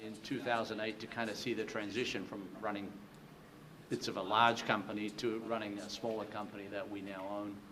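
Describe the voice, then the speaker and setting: A man's fairly low, monotone voice with flat intonation, a moderate pace, and audible room echo. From Australia. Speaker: company president. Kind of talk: panel discussion.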